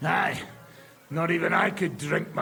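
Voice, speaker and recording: A man's put-on character voice, high-pitched, gruff and raspy, at a moderate pace. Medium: video game. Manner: gruff, irritable.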